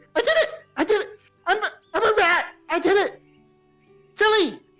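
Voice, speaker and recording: An extremely high, squeaky put-on character voice. Faint music plays in the background. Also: moderate pace. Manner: excited, delighted.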